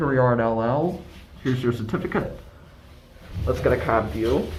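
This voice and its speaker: A man of medium pitch talks at a moderate pace with lively intonation and very even loudness, against noticeable background noise. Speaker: elevator enthusiast videographer. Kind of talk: casual narration while filming.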